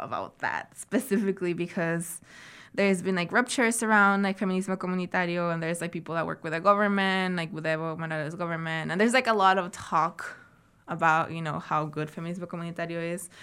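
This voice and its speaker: A woman talks at a very fast pace with a Spanish accent and a medium pitch. Her intonation is fairly even, on a very clean recording with a silent background. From Santiago, Chile (born in Arequipa, Peru). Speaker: artist and traditional medicine researcher. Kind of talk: interview. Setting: studio. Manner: frequent filler words.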